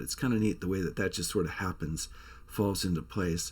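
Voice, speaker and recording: A man's voice with ordinary pitch variation, in a very clean recording over a silent background. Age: 60s. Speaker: songwriter and musician, channel host. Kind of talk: casual vlog storytelling.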